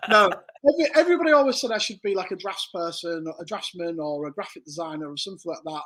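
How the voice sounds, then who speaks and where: In a northern English accent, a man speaks fairly quickly at a high pitch with ordinary pitch variation. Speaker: embroidery business owner. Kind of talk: casual interview chat.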